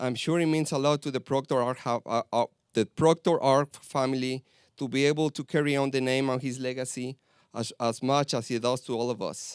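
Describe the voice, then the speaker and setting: In a very clean recording with a silent background, a man with a Spanish accent talks at a fairly quick pace with fairly even intonation. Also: medium pitch for a man, dry, close sound with no echo. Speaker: school groundskeeper and soccer coach. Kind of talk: prepared speech. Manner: halting.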